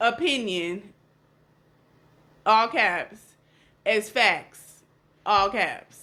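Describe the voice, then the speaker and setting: Loud and bright with a sharp tone, a woman speaks at a very slow pace with long, frequent pauses. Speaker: podcast co-host. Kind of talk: casual chat. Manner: passionate, animated.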